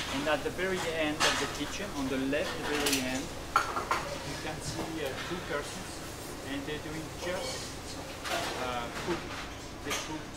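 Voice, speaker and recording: Loud background noise sits behind a man who speaks at a fairly slow pace with long, frequent pauses. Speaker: restaurant host translating for the chef. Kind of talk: guided tour interpretation. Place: kitchen. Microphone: camera far.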